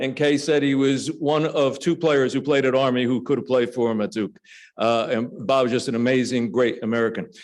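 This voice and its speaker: Talking at a fairly quick pace, a man with a New Jersey accent uses a medium pitch and ordinary pitch variation. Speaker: former referee and state trooper. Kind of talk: speech. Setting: lunch club meeting, audience. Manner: conversational, humorous asides.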